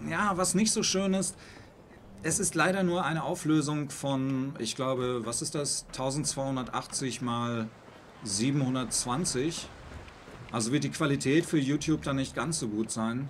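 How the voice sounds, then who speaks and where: Though his pace is very slow, a man keeps a lively intonation at a fairly high pitch. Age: 40s. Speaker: gaming streamer. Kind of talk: live stream commentary. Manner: halting.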